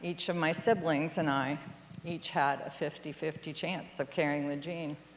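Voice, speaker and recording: A woman talks at a moderate pace with fairly even intonation. She has a plain, everyday voice. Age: 60s. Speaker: storyteller. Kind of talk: storytelling talk.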